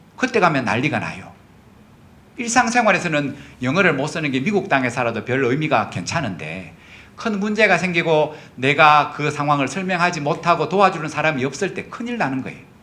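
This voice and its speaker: Amid audible room echo, a man with a fairly high pitch and a bright, sharp tone talks at a fairly quick pace, his pitch swinging very widely. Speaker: pastor. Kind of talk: sermon. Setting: church. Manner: conversational, frequent tag questions.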